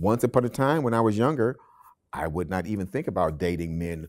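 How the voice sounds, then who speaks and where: This man's American accent comes through on a very clean recording with a silent background. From Cleveland, Ohio, US. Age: 60s. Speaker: oral history interviewee. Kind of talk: oral history interview. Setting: public library.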